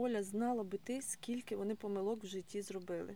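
A woman's medium-pitched voice at a fairly quick pace, in a monotone, flat intonation. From Mykolaiv region, southern Ukraine. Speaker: podcast host, wellness coach. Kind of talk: interview conversation.

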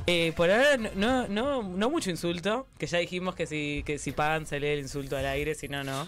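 A man with a high voice speaks at a moderate pace, his intonation lively and his delivery with hardly any pauses. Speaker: stream co-host. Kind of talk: casual chat. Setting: live stream.

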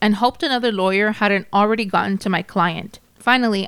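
This is a natural reading voice. It is read aloud.

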